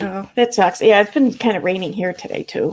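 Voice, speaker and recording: In a Midwestern accent, a woman talks at a very fast pace on a very clean recording with a silent background. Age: 40s. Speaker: YouTube livestreamer. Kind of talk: casual livestream chat; reading aloud court documents. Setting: live stream.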